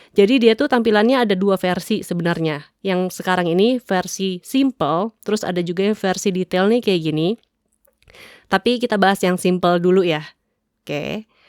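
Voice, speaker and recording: A woman speaks at a medium pitch and moderate pace, with ordinary pitch variation. The sound is dry and close, without echo. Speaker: tech reviewer on audio gear channel. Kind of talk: product tutorial. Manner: casual, chatty.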